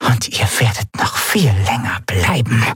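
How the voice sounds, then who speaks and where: A man's raspy, put-on character voice at medium pitch, fairly slow in pace, over faint background music. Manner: whispering, eerie.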